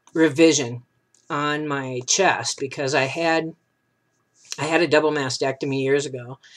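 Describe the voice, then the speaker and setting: A man's normal speaking voice, fairly high in pitch, at a fairly slow pace. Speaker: vlogger. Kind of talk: casual video update. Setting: webcam video. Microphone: new webcam.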